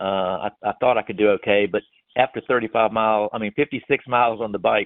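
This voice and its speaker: A man rattles along at a very fast pace, his fairly low voice holding fairly even intonation. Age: 70s. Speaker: amateur triathlete. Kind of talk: interview. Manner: halting.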